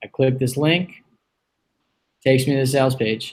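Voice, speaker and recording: This man's voice is fairly high in pitch, and he talks at a fairly quick pace. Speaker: online business coach. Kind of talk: live tutorial. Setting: live video stream.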